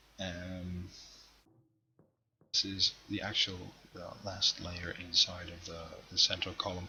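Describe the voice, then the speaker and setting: At a fairly slow pace, a man with a non-native accent speaks in a very deep, low voice. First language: not English. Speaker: gaming streamer. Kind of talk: live stream game tour. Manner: halting, many pauses.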